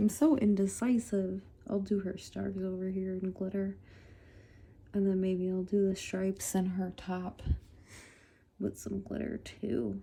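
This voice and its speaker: A woman's somewhat breathy, medium-pitched voice at a fairly slow pace, with ordinary pitch variation and long, frequent pauses. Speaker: coloring video creator. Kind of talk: casual chat while coloring. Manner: casual, hesitant; whispering.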